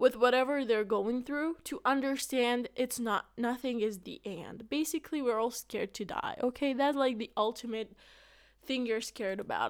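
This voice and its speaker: In a very clean recording with a silent background, a woman with a high-pitched voice speaks in an animated tone. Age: 20s. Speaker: podcast host. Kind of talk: casual monologue.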